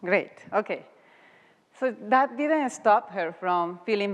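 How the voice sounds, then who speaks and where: A woman speaks with a Mexican accent. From Mexico. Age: young. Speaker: guest speaker. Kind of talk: talk to an audience.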